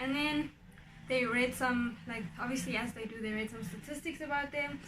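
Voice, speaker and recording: Moderately paced speech with normal pitch movement carries audible echo from the room. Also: woman, high pitch for a woman. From South Africa. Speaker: YouTuber. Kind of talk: casual vlog monologue.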